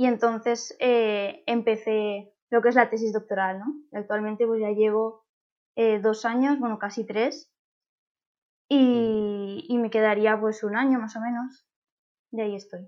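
A woman speaks with fairly even intonation and a fairly high pitch. Her pace is fairly slow. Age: 20s. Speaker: doctoral researcher in plant science. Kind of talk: interview. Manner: hesitant, many fillers.

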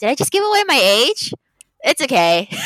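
Her tone animated and her pitch swinging very widely, a woman speaks in a dry, close sound with no echo. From Filipino heritage. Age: 20s. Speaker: podcast co-host. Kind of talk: casual chat.

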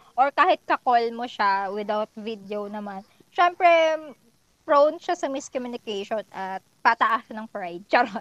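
A woman with a fairly high voice speaks at a fairly slow pace in an animated tone, with lively intonation and big swings in loudness, in a dry, close sound with no echo. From Philippines, Laguna province. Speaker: podcast guest, office worker. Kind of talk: casual chat.

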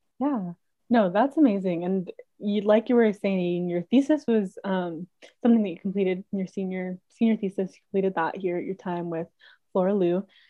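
A woman talks at a fairly quick pace in a plain, everyday voice. Her pitch is medium, with ordinary pitch variation. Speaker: student peer advisor, podcast host. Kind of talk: casual interview chat.

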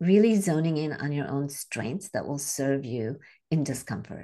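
Against a quiet background, a woman with a very deep, low pitch talks at a fairly slow pace using lively intonation. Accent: American. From India, then Chicago from age twelve. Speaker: health and wellness coach. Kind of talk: casual interview chat.

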